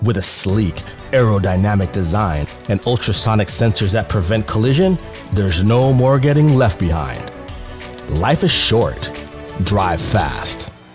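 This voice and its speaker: A man's fairly low voice at a fairly slow pace, with lively intonation, very even loudness, and long, frequent pauses over music in the background. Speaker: voice actor. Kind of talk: TV commercial read.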